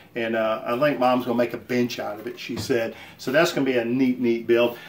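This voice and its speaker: Noticeable background noise sits under the speech. The pace is fairly quick. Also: man. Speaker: woodworking hobbyist and channel host. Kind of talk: casual shop update video. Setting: home workshop. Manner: halting, many fillers.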